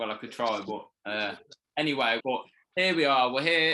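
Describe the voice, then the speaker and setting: A man of medium pitch with a slight Birmingham accent and a bright, sharp tone. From Birmingham, England. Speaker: interviewer. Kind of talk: interview. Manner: halting.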